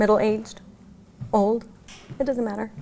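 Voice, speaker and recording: A woman speaks with an American accent in a fairly high voice. Her intonation stays monotone and flat. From New Mexico, USA. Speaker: bereaved mother. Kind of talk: interview answer.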